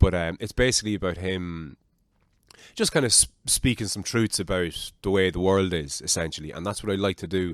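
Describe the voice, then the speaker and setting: At a fairly quick pace, a man with an Irish accent speaks in a very deep, low voice with ordinary pitch variation, recorded very cleanly against a silent background. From Ireland. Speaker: podcast host. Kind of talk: casual chat. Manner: animated.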